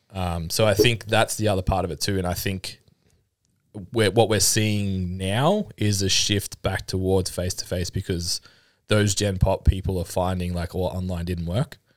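A man with an Australian accent speaks at a moderate pace in a very deep, low voice with fairly even intonation, on a very clean recording with a silent background. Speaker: personal trainer and fitness business owner. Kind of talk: casual chat.

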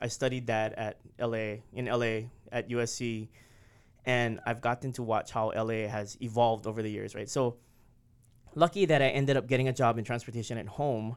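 Speaking with a Hawaiian accent, a man of medium pitch keeps a moderate pace and fairly even intonation. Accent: Hawaii English. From Hawaii, Oahu windward side. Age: 40s. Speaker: city transportation official. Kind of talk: interview.

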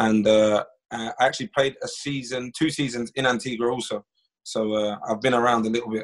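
A man talks at a moderate pace with medium pitch. His pitch shows little movement.

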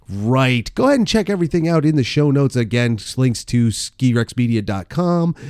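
A man with a medium-pitched, normal speaking voice talks at a moderate pace with hardly any pauses, very even loudness and lively intonation on a very clean recording with a silent background. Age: 40s. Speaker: ski podcast host. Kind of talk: casual chat.

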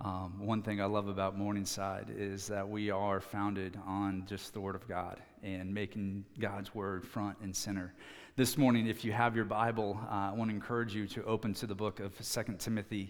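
In a room with audible echo, a man with an American accent talks at a moderate pace, fairly low-pitched and monotone, with flat intonation. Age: 30s. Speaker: student pastor. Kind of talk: sermon. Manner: hesitant, many fillers.

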